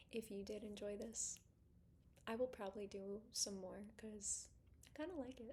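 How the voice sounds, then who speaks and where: A woman whispers softly with vocal fry at a moderate pace, leaving long, frequent pauses. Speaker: fitness instructor. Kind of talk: ASMR-style casual vlog. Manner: soft-spoken, whispery ASMR delivery.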